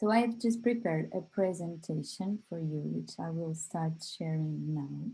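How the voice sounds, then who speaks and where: Speaking in a Portuguese accent at a moderate pace with hardly any pauses, a woman has a fairly low pitch, ordinary pitch variation, a dark, mellow tone and a somewhat breathy quality. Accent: Portuguese, non-native English. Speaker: company representative presenting a product. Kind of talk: online workshop presentation. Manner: hesitant, many fillers.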